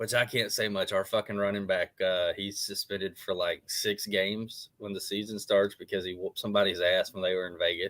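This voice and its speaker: A man with an Arkansas accent talks at a fairly quick pace. He leaves hardly any pauses. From Arkansas (Jonesboro). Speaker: former pro wrestler, show co-host. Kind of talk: casual chat.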